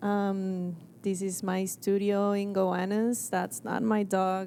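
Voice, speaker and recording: Amid audible room echo, a woman with a medium-pitched voice and an Argentine accent speaks in a flat monotone. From Argentina. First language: Spanish. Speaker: graphic designer. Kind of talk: presentation talk. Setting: stage with audience.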